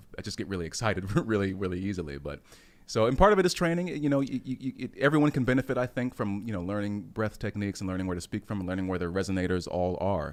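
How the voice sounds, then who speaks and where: A man talks very fast with a fairly low pitch. His intonation is lively. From military brat, moved often; born in Germany. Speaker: actor. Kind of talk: casual chat. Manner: halting, many repeated words.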